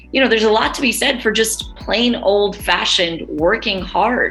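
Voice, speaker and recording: Over music in the background, a woman with a New York accent talks at a moderate pace with ordinary pitch variation. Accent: New York American. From New York City. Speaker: radio presenter. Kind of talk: interview answer.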